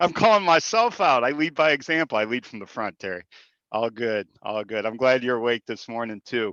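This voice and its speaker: A man's bright, sharp, medium-pitched voice with lively intonation and big swings in loudness at a fairly quick pace, in a dry, close sound with no echo against a quiet background. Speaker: small business banker. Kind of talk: webinar panel introduction. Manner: fast.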